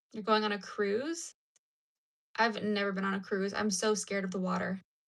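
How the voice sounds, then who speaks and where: Talking at a moderate pace, a woman has an ordinary speaking voice with medium pitch and ordinary pitch variation. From United States. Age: 20s. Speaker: crochet livestreamer. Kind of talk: casual chat. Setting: livestream at home.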